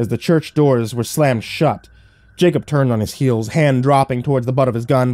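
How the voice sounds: Text in a natural reading voice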